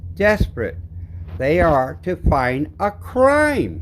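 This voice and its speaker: A somewhat breathy man at a very slow pace, with very wide pitch swings. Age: 60s. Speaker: video creator filming police encounter. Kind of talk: confrontation with police; narrated commentary over own footage. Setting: back seat of police car. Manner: animated.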